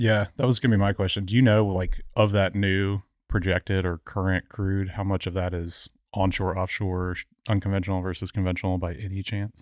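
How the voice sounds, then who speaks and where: With a very clean recording and a silent background, a man speaks at a very deep, low pitch in a monotone, flat delivery at a fairly quick pace, the sound dry and close with no echo. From Houston, Texas and Memphis. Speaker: guest co-host. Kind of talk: casual chat.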